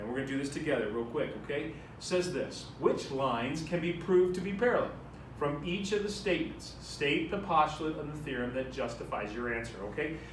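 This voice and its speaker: Amid audible room echo and noticeable background noise, a man with fairly high pitch talks at a fairly quick pace with lively intonation. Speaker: math teacher. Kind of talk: classroom lecture. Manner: fast.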